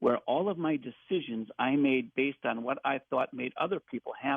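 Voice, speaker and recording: Using a normal speaking voice, a man pitched fairly high moves at a moderate speed, his pitch varying in an ordinary way. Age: 60s. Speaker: caller. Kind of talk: personal testimony. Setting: phone call.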